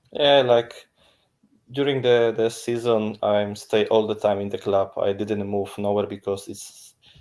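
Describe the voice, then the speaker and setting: A man with a Polish accent speaks slowly-ish, at a fairly slow pace, in a fairly low voice with fairly even intonation. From northern Poland, Bydgoszcz. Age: 30s. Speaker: volleyball player. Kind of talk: interview. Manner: halting non-native English.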